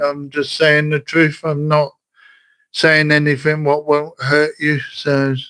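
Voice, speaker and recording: With a West Country accent, a man speaks at a very slow pace in a bright, sharp tone at a fairly high pitch. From southern England, Wiltshire. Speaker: livestreamer. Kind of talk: casual chat. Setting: livestream. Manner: halting.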